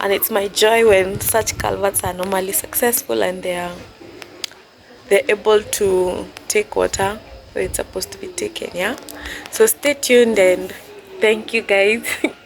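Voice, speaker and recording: The speaker moves at a moderate pace with long, frequent pauses, over noticeable background noise. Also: woman. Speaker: surveyor and vlogger. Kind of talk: tutorial; casual vlog intro. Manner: casual, slightly halting.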